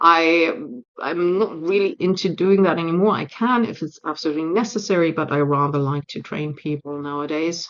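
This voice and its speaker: This woman speaks at a fairly quick pace with a German accent. Her voice sits fairly low and shows ordinary pitch variation. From Germany. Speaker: change management consultant and speaker. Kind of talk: speech re-recording / talk. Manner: direct.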